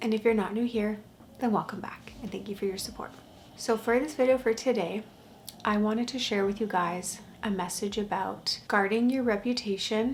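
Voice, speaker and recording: A soft-spoken woman with a fairly high pitch talks in a calm tone with fairly even intonation. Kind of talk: casual vlog talk. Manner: very quiet, soft-spoken; slow, calm.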